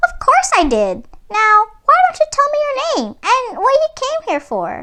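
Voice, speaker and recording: Putting on a squeaky character voice with an extremely high pitch, a woman speaks at a fairly slow pace. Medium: read story. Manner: sweet, eager.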